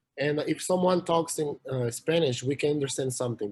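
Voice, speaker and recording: With a Portuguese accent, the somewhat breathy voice shows ordinary pitch variation. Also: man. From Brazil, São Paulo. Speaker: college swimmer and student. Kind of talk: interview. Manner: halting, many fillers.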